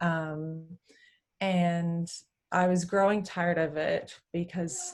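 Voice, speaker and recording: A woman's fairly low voice with an American accent and fairly even intonation. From Texas. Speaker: physiotherapist. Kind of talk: interview chat. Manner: many hesitations (um).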